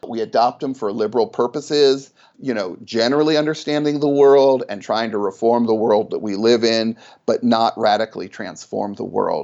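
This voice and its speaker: A man with an American accent and a medium pitch speaks at a moderate pace with ordinary pitch variation in a normal speaking voice. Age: 50s. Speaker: sociology professor. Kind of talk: interview.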